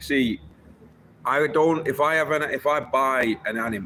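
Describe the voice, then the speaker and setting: At a fairly slow pace, a man talks in a bright, sharp tone with fairly even intonation. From northern England, Wigan. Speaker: livestreamer. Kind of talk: casual livestream chat.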